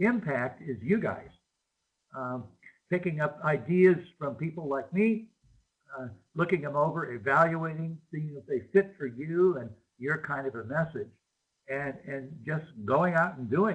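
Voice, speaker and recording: A somewhat breathy man with a fairly high pitch, lively intonation, big swings in loudness, a moderate pace and long, frequent pauses. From US Midwest, Chicago. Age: 70s. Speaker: marine biologist and educator. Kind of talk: remote talk to school students with Q&A. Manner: casual, hesitant with many fillers.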